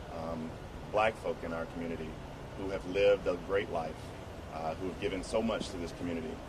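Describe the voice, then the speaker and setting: Speech moves at a fairly quick pace with fairly even intonation, yet long, frequent pauses keep breaking it up. Noticeable background noise runs underneath. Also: man, very deep, low pitch for a man. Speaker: community advocate at press conference. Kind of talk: press conference statement.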